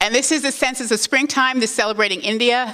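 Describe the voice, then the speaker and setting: A woman speaks with an animated tone and a fairly high pitch. Noticeable background noise is present. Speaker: museum executive. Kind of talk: conference presentation. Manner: fast.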